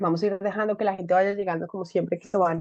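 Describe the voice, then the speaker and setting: The woman's tone is dark and mellow. Her sound is dry and close, with no echo. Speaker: webinar host of a leadership institute. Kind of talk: online conversation, welcome remarks.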